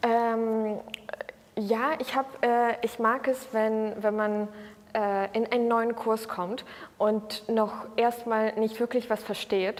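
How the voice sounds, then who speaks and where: A woman's fairly high pitch at a very slow pace, monotone, flat intonation and noticeable background noise. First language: Russian (speaking German). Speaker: university student. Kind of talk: interview answers. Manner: hesitant, many fillers.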